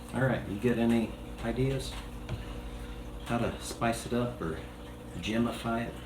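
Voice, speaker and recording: Noticeable background noise runs behind a man. He speaks fairly slowly with long, frequent pauses. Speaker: stunt voice, former English teacher. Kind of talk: casual conversation.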